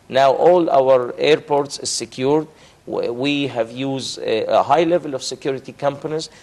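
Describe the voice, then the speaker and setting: A man with an Arabic accent, fairly high pitch, fairly even intonation and a moderate pace. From Egypt. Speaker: diplomat; guest. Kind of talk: TV interview. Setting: studio. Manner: halting, many repetitions. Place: studio. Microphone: lapel.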